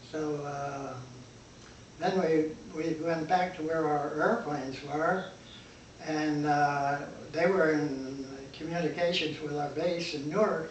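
Over light background noise and audible room echo, a man with a fairly high pitch talks at a very slow pace with fairly even intonation. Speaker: eyewitness to a historic disaster. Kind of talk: interview answer. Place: home room. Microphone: camera far.

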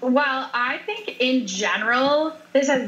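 Noticeable background noise behind a woman speaking at a high pitch. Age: 30s. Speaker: powerlifter and weightlifter. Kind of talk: interview.

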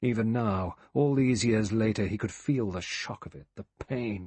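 This man speaks in a theatrical tone. His voice is somewhat breathy. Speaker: audiobook narrator. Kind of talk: dramatic audiobook narration of a mystery novel, reading aloud with character voices. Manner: measured, suspenseful, theatrical pacing; shifts tone to voice each character.

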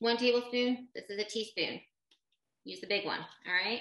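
A woman at a fairly slow pace, with light background noise and audible room echo. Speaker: baking class host. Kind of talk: tutorial. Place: kitchen. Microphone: webcam.

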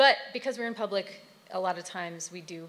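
Talking at a fairly quick pace, a woman speaks. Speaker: arts organization representative. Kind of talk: introductory remarks. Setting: stage with audience. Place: hall. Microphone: podium.

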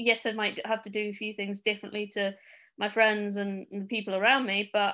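With a Manchester accent, a woman talks at a moderate pace in a fairly high pitch, her tone bright and sharp but her intonation monotone and flat, over a quiet background. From Manchester, England. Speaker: Paralympic cyclist. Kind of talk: interview answer.

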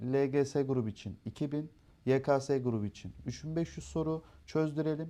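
Against a quiet background, a man speaks in a dark, mellow tone at a fairly high pitch with ordinary pitch variation. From Turkey, Erzurum roots, raised in Darıca. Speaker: education center owner. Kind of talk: interview. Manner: hesitant, frequent filler sounds.

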